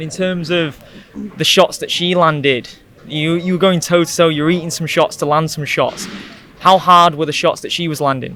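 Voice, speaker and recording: Monotone, flat intonation at a moderate pace against noticeable background noise. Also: man, high pitch for a man. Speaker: MMA interviewer. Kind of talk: post-fight interview. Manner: speaking quietly.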